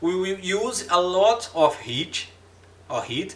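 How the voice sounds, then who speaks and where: Amid audible room echo, a man with a Brazilian accent talks very slowly in a high pitch. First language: Portuguese. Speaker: engineering lecturer. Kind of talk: lecture. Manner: halting, many fillers and repetitions.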